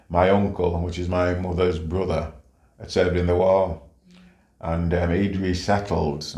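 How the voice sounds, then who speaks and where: A man speaks at a fairly slow pace with a very deep, low pitch and a somewhat breathy quality. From St Kitts, Caribbean. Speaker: retired policeman, community leader. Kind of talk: life story interview answer.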